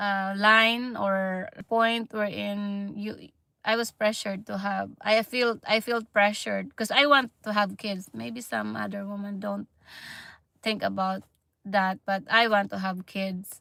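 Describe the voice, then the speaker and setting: A woman with a Filipino accent speaks at a fairly slow pace. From Philippines. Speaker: nurse and vlogger. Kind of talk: livestream chat. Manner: halting.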